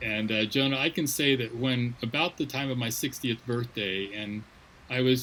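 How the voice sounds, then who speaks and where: Ordinary pitch variation runs through a plain, everyday voice. The pace stays moderate. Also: man. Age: 60s. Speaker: missions leader. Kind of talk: interview.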